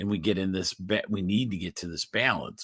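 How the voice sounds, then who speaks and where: Fairly low in pitch, a man's voice carries a bright, sharp tone. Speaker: chiropractor and health show host. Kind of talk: live stream health talk. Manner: halting, stuttering.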